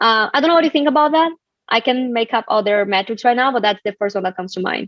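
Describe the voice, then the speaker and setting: A woman with a fairly high pitch at a very fast pace. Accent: Brazilian. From Brazil. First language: Portuguese. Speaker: community strategist and author. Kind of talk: live online book club discussion.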